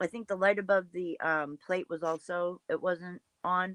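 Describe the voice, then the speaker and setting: This woman has an Ohio accent. Her pitch is medium. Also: dry, close sound with no echo. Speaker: true crime commentary host. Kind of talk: casual chat. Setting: live stream.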